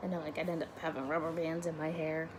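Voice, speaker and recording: A woman is speaking. Her voice is quiet. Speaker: vlogger. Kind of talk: casual chat. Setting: dorm room. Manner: rambling, hesitant.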